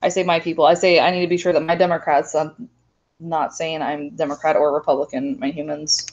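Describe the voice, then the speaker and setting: Her pitch fairly low with ordinary variation, a woman talks at a fairly quick pace. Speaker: high school government teacher. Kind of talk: test review livestream. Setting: live video stream. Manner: loud, animated.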